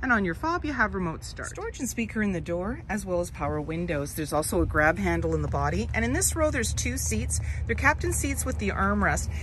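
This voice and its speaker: A woman at a very fast pace, hardly any pauses, dry sound with no echo and light background noise. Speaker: car dealership salesperson. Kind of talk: product walkaround commentary. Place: car. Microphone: phone near.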